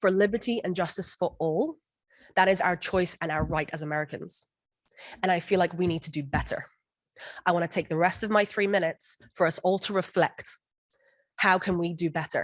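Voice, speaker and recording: A woman with a fairly low pitch talks at a fairly quick pace, with long, frequent pauses. Her intonation is fairly even, and the background is quiet. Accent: non-native. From outside the US. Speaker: parent giving public comment. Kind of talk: public comment speech. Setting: board meeting room.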